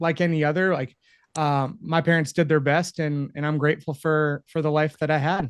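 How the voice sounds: A man with an American accent, fairly high pitch, moderate pace and a clear, smooth tone.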